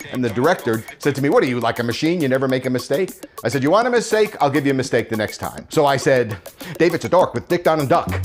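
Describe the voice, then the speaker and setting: Over music in the background, a man with a fairly high pitch talks at a very fast pace with lively intonation. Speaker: voice actor. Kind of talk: interview answer.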